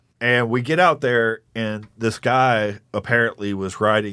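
This voice with an East Texas accent is captured on a very clean recording against a silent background. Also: man. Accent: East Texas Southern. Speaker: war veteran and comedian. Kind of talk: casual chat.

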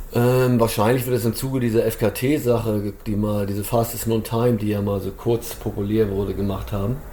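A man talks at a moderate pace and a medium pitch. His intonation is flat and monotone. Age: 50s. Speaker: trail runner and race organizer. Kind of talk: casual chat.

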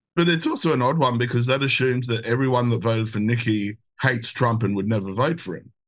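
A man with an Australian accent talks at a very fast pace. His pitch sits in the medium range. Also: ordinary pitch variation. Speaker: show producer and co-host. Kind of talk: casual chat.

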